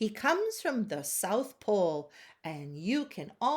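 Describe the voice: Text read aloud, plain.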